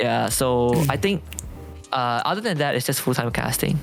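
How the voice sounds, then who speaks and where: A man's voice with music in the background. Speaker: esports shoutcaster. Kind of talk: casual chat.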